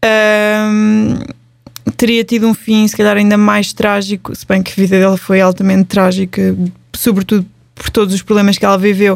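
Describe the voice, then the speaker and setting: Delivery is monotone and flat. The pace stays moderate. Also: woman, medium pitch for a woman. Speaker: podcast host. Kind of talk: casual chat.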